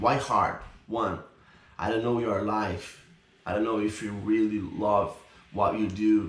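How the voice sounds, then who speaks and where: A man with a Brazilian accent speaks slowly in a fairly low, monotone, flat voice, leaving long, frequent pauses amid audible room echo. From Brazil, São Paulo. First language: Portuguese. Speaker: YouTuber. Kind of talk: casual vlog talk to camera.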